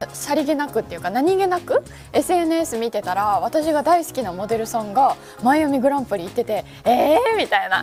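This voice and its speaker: There is music in the background as a woman talks at a fairly quick pace. Her high voice makes very wide pitch swings. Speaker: weather news presenter. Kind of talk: casual talk on live stream.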